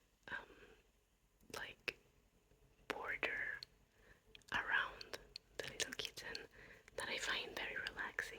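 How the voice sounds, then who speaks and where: The speaker whispers at a very slow pace. Long pauses come frequently. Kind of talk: ASMR whispered talk to camera. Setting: home, late at night. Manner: whispered, soft-spoken.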